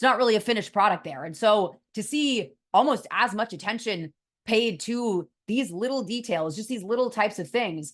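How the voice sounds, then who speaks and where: A woman with an American accent and an unremarkable speaking voice talks at a moderate pace against a quiet background, her fairly high pitch carrying lively intonation and big swings in loudness. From US West Coast, San Francisco Bay Area. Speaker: college football reporter. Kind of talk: solo sports analysis show.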